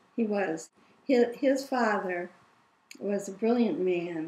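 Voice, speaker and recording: A woman talks at a fairly slow pace in a somewhat breathy voice, medium in pitch with ordinary pitch variation. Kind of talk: interview answer.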